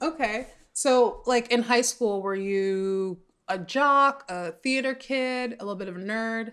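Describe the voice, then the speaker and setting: With a plain, everyday voice, a woman speaks at a fairly slow pace and a fairly high pitch, showing ordinary pitch variation and big swings in loudness in a very clean recording with a silent background. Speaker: podcast host. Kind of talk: casual interview chat. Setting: recording from a closet at home.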